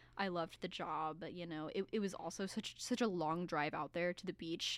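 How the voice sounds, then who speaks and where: A woman speaks with an American accent in a plain, everyday voice. Her pitch is fairly low, with ordinary variation. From US South. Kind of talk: casual chat. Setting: studio.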